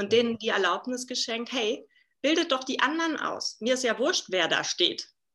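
Over a quiet background, a woman with a high voice speaks at a moderate pace, her tone bright and sharp and her intonation lively. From Berlin, Germany. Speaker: leadership coach and keynote speaker. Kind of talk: casual interview. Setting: video call.

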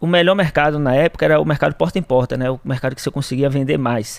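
This man's pitch sits fairly high. It varies in an ordinary way. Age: 20s. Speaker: entrepreneur. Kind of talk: interview. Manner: halting.

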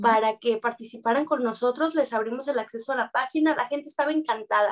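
A woman with a Mexican accent, fairly high pitch and fairly quick pace. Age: 30s. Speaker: dance teacher. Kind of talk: interview.

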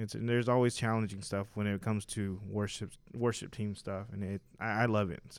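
Fairly low-pitched and fairly quick, a man with a normal speaking voice talks with fairly even intonation and hardly any pauses. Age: 30s. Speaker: church musician and worship singer. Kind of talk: casual chat.

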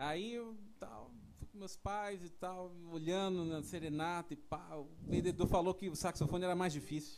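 Big swings in loudness mark this man's speech, which has a high pitch, ordinary pitch variation and a moderate pace. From São Paulo, Brazil. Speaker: saxophonist. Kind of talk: casual chat.

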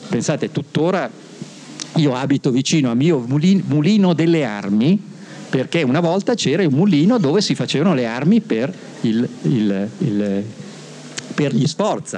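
A man speaks at a fairly slow pace in a fairly high pitch with very wide pitch swings, very even loudness, and long, frequent pauses over noticeable background noise. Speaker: author and illustrator. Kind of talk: talk to young audience. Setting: stage with audience.

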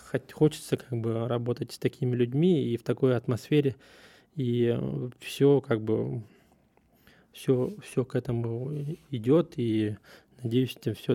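A man at medium pitch and a fairly slow pace, dark, mellow tone, in a dry, close sound with no echo. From Russia. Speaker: podcast host, surveyor. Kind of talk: casual monologue. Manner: halting, many fillers.

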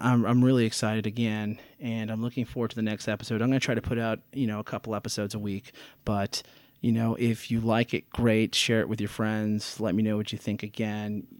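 A man speaks at a medium pitch and a fairly quick pace, his intonation monotone and flat. The recording is very clean, with a silent background. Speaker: tennis coach and podcast host. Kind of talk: casual solo monologue. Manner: unscripted, many filler words.

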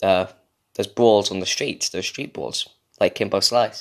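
A man with an English accent speaks fairly slowly at a medium pitch. The recording is very clean, with a silent background. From England. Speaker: podcast host. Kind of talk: casual solo monologue. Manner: rambling, frequent fillers.

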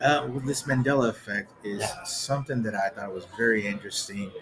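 Over music in the background, a man with a medium-pitched voice speaks at a fairly quick pace with ordinary pitch variation. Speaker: podcast co-host. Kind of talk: casual chat.

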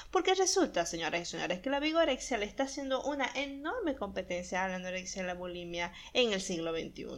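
Hardly pausing, a woman talks at a very fast pace in a medium pitch. Her pitch swings very widely. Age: 20s. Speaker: podcast host and illustrator. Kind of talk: casual monologue.

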